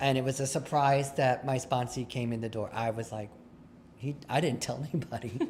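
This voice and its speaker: A somewhat breathy man at medium pitch, with fairly even intonation and a fairly quick pace. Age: 60s. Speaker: recovering alcoholic sharing at a recovery meeting. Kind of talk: testimony. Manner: conversational, with false starts and fillers.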